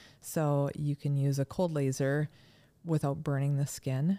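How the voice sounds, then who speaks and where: On a very clean recording with a silent background and a dry, close sound with no echo, a voice with an American accent speaks at a fairly slow pace in a dark, mellow tone with monotone, flat intonation. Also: woman. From Minnesota. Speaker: chiropractor. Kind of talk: casual interview.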